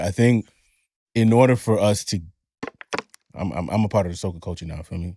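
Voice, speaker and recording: On a very clean recording with a silent background, a man speaks at a moderate pace. His tone is dark and mellow, with ordinary pitch variation. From Honduran heritage. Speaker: podcast host. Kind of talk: casual chat.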